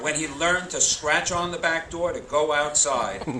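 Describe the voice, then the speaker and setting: A man's high voice over noticeable background noise. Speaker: retired middle school teacher, keynote speaker at a high school graduation. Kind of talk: graduation commencement speech. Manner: humorous, storytelling.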